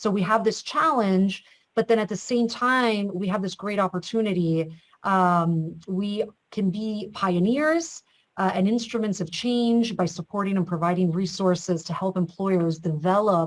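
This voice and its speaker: A woman talks at a fairly slow pace at medium pitch. Hers is an ordinary speaking voice with ordinary pitch variation. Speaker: state government official. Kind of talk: webinar panel discussion.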